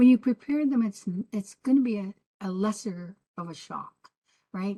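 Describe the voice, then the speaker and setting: In a dry, close recording with no echo, a woman speaks at a medium pitch and a moderate pace, her dark, mellow, somewhat breathy tone showing ordinary pitch variation. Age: 70s. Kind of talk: panel discussion.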